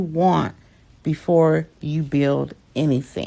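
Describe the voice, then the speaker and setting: On a very clean recording with a silent background, a woman with an American accent speaks at a very slow pace. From Michigan, US. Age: 60s. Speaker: clarity coach and digital creator. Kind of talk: tutorial. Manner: direct.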